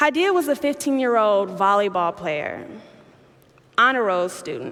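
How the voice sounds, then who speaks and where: With a Chicago accent, a woman with a fairly high pitch speaks at a moderate pace and makes very wide pitch swings. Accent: Chicago American English. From US Midwest, south side of Chicago. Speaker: youth activist. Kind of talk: keynote speech. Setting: stage with audience.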